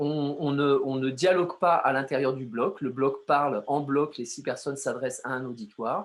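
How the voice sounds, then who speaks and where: This man's pitch is fairly high and his intonation fairly even. He keeps a moderate pace with hardly any pauses. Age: 60s. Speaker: artist and poet. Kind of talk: interview. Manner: halting, many hesitations.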